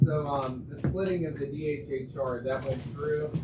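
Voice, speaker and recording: A man with an American accent at a fairly high pitch and moderate pace, with fairly even intonation, audible room echo, and noticeable background noise. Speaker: county commissioner. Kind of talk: audience question. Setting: breakfast meeting with audience. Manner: loud.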